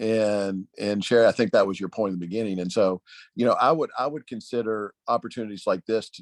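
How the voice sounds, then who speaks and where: With a Tennessee accent, a man speaks at a fairly low pitch with ordinary pitch variation, recorded dry and close with no echo over a quiet background. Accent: Southern US (Tennessee). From Nashville, Tennessee. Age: 50s. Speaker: political consultant. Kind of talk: panel discussion.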